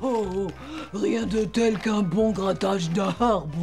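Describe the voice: With clear background noise behind her, a woman does a cartoonish character voice at medium pitch and a fairly slow pace.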